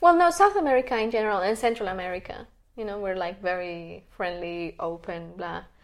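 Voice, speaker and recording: With a Spanish accent, a woman talks at a fairly quick pace in a medium-pitched voice, with ordinary pitch variation and big swings in loudness. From Colombia, Bogota. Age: 30s. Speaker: energy healer and health coach. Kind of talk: interview.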